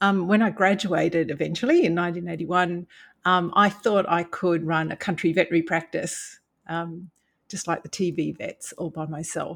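A woman talks in an Australian accent. Her pitch is fairly low and her intonation fairly even. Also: moderate pace, very clean recording, silent background. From Brisbane, Australia. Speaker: veterinarian, veterinary board official. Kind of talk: interview.

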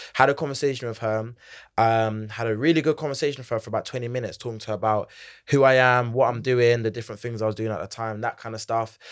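Medium in pitch, a man talks at a very fast pace with big swings in loudness, on a very clean recording with a silent background. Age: 20s. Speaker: Gen Z corporate advisor and entrepreneur. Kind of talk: casual interview chat. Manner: energetic, animated.

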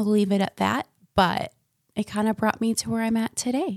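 A woman speaks with an American accent. The recording is very clean and silent behind her, with a dry, close sound and no echo. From central Florida. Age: 20s. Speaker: podcast host. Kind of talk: casual monologue. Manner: animated.

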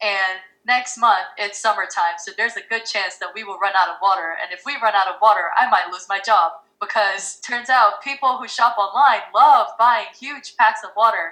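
A woman speaks at a moderate pace with an American accent and a fairly high pitch. Her pitch varies in an ordinary way, while her loudness swings widely. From Philippines. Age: 20s. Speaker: startup founder. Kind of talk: casual interview chat.

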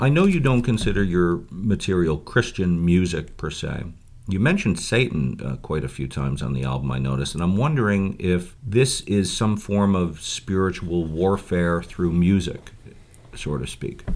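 Noticeable background noise surrounds speech with lively intonation. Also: man, very deep, low pitch for a man, moderate pace. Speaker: radio host. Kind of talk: interview conversation. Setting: studio.

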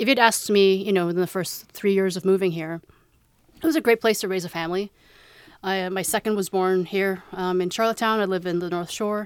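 Using an ordinary speaking voice, a woman with a Canadian accent speaks at a medium pitch and a fairly quick pace, her intonation fairly even. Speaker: parent. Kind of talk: casual chat.

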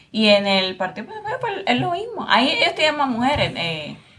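Noticeable background noise sits behind a woman who talks at a moderate pace. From Puerto Rico. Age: young. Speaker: lawyer, podcast host. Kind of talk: interview conversation.

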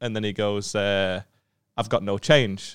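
A man with a fairly low pitch talks at a fairly slow pace. His intonation is monotone and flat, and the recording is very clean with a silent background. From northern England. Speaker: comedian. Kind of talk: casual chat. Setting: studio.

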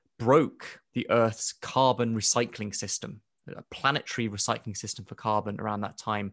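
A man speaks at a moderate pace with a British accent. The sound is dry and close with no echo, and the background is quiet. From Kenya (Nairobi), born in UK. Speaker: astrobiology professor and author. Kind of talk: interview.

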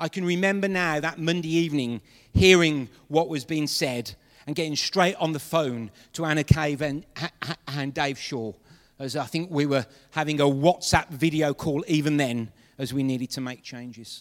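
A man talks at a moderate pace with an unremarkable speaking voice. His pitch sits fairly high and varies in an ordinary way. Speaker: pastor. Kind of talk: sermon. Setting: church.

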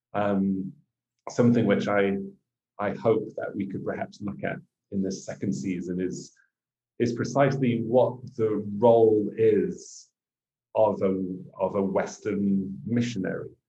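A man's fairly low, dark, mellow voice with an English accent, fairly slow pace, ordinary pitch variation, and long, frequent pauses. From England. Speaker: missionary and podcast co-host. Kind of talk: casual chat.

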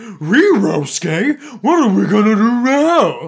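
Very slow delivery marks this voice. It is a put-on character voice pitched fairly high. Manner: dopey, worried.

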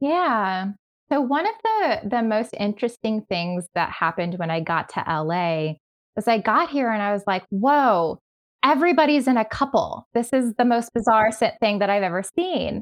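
Speech with an American accent moves at a moderate pace through very wide pitch swings. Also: woman, fairly high pitch for a woman. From New York. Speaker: sexologist. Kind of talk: podcast interview.

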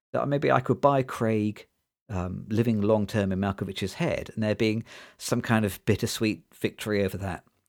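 Recorded very cleanly with a silent background, a man with a British accent speaks with ordinary pitch variation. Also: fairly low pitch for a man, moderate pace. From Britain. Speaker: podcast host, film discussion. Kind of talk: casual chat, film review podcast. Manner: comedic, laughs often.

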